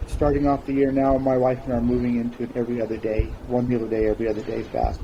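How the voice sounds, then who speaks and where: A man at medium pitch, fairly quick and monotone with flat intonation, against noticeable background noise. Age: 60s. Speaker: interview guest sharing weight loss story. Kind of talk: interview testimony.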